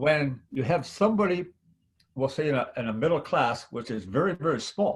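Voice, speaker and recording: A man with a fairly high pitch sounds somewhat breathy and uses lively intonation. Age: 70s. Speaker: network marketing veteran. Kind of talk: testimony. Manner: animated.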